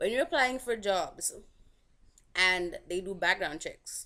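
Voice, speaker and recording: A woman with a Saint Lucian accent speaks at a fairly slow pace with lively intonation. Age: 20s. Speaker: vlogger. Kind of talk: casual vlog commentary.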